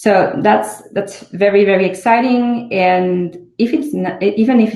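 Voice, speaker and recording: Somewhat breathy and dark, mellow in tone, a woman with a French accent speaks at a moderate pace with lively intonation amid audible room echo. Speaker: startup CEO. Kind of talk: conference talk.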